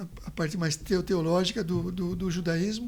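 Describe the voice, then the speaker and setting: A man's high-pitched voice, fairly even in intonation, at a moderate pace. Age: 70s. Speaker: pediatrician. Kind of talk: interview. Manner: halting, with frequent repetitions.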